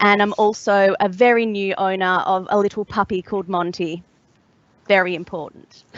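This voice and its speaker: Talking at a moderate pace, a woman with an Australian accent speaks at a medium pitch. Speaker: mental health consultancy founder. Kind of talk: panel discussion. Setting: online webcast.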